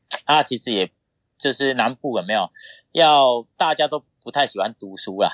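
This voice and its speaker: On a very clean, dry, close recording with a silent background and no echo, a man with a plain, everyday voice speaks at a moderate pace and medium pitch with ordinary pitch variation. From Taiwan, Pingtung County (southern Taiwan). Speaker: triathlete and boxing coach. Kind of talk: interview.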